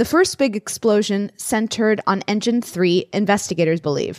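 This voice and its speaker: A woman's normal speaking voice, fairly high-pitched, at a moderate pace, with a dry, close sound and no echo. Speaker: podcast host. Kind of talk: casual chat.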